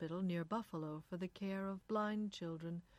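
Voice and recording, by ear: A natural voice, reading aloud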